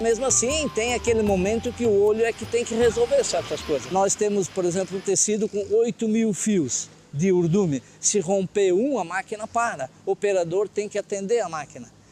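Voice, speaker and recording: A man's high-pitched voice at a moderate pace, with ordinary pitch variation and hardly any pauses, against noticeable background noise. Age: 70s. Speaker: textile industry veteran worker. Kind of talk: documentary interview.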